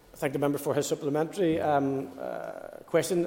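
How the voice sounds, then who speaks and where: A man's fairly high-pitched voice in a flat monotone, over noticeable background noise. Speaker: Assembly member answering for the Commission. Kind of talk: parliamentary proceedings, formal answers with some ad-lib.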